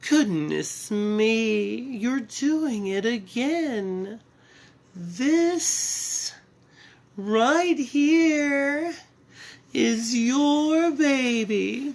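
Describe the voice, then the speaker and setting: Using a put-on character voice, a female-sounding speaker talks at a high pitch and very slow pace with long, frequent pauses. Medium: read story. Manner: sweet, coaxing, falsely motherly.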